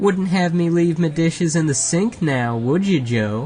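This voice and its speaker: Putting on a character voice, a man speaks in a high pitch at a moderate pace with lively intonation. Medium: read story. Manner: chatty, jovial.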